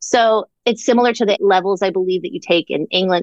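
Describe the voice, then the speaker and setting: A woman with a normal speaking voice speaks at a medium pitch with an American accent, recorded with a dry, close sound and no echo. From Orlando, Florida. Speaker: comedic writer and performer. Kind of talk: casual interview chat.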